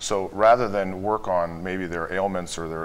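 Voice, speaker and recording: A man speaks in a very deep, low voice at a moderate pace. His intonation stays fairly even. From Chicago. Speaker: wealth management executive; guest. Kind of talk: interview. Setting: studio. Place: studio. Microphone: lapel.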